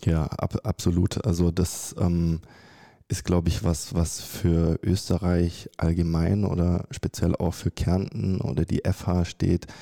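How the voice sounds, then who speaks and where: Dry and close with no echo on a very clean recording with a silent background, a man's very deep, low voice with a dark, mellow tone moves at a very slow pace, with fairly even intonation and very even loudness. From Germany. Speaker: architecture graduate and startup founder. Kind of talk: interview.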